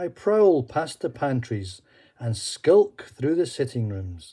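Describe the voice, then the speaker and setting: Here a man speaks at a fairly slow pace in a dark, mellow, somewhat breathy voice with very wide pitch swings. The recording is very clean, with a silent background. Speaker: storyteller. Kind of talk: children's story reading.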